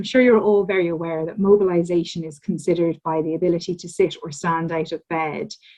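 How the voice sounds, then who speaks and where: Delivered with an Irish accent, the speech moves at a fairly quick pace with ordinary pitch variation. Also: woman. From Ireland. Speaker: academic researcher, physiotherapist. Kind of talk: lecture. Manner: hesitant with frequent ums.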